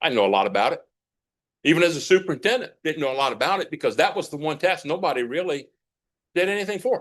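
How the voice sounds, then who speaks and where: A man talks at a very fast pace in a high pitch, with ordinary pitch variation. Long pauses break up his speech frequently. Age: 60s. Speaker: retired school superintendent speaking at public comment. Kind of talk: public comment at school board meeting.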